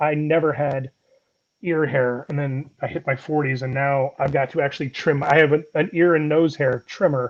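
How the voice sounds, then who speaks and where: A man with an American accent and a plain, everyday voice speaks at a moderate pace, his fairly high pitch held in fairly even intonation. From US South. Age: 40s. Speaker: comedian. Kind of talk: casual chat.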